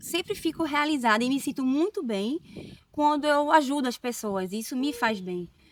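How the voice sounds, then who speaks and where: A woman speaks with lively intonation. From Northeast Brazil, Recife, Pernambuco. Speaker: nurse. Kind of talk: casual interview chat.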